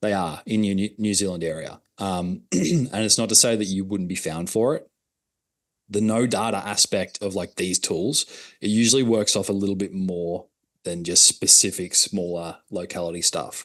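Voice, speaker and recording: A man with an Australian accent, fairly low in pitch, fairly even intonation, over a quiet background. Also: moderate pace. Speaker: digital marketing consultant. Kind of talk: workshop presentation.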